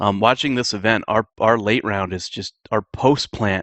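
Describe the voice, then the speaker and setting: A shaky male voice at a moderate pace with fairly even intonation. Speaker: esports team coach answering viewer questions. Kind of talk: casual Q&A vlog. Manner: shaky voice.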